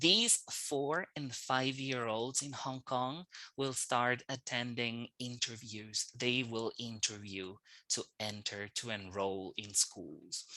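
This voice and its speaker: A man at medium pitch with a bright, sharp tone, ordinary pitch variation and a very slow pace. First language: Spanish. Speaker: English teacher trainer. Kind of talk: online lecture.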